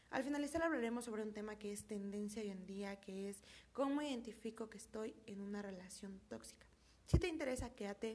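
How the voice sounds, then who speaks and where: Talking in a normal speaking voice, a woman keeps a fairly quick pace with a fairly high pitch and ordinary pitch variation. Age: 20s. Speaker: podcast host, university student. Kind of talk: casual podcast monologue.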